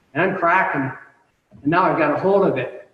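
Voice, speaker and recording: A man speaks with a high pitch. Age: 50s. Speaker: martial arts instructor. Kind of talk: instruction class. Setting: video call.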